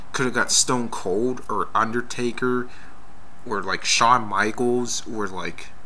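The speech moves at a fairly slow pace with light background noise behind it. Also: man. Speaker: wrestling fan video blogger. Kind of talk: casual video response rant about wrestling matches. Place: home room. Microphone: webcam.

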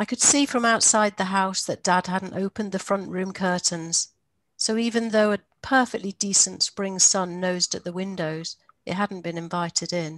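A woman speaks at a moderate pace, with a dry sound with no echo and a quiet background. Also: fairly even intonation. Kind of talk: reading aloud from a memoir. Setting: video call. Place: home room. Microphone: headset.

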